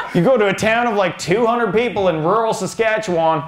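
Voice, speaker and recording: A man talks at a fairly quick pace with a high pitch and lively intonation. Noticeable background noise and audible room echo come through in the recording. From Canada, Northern Ontario. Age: 30s. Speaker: stand-up comedian. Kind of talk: stand-up. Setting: stage with audience.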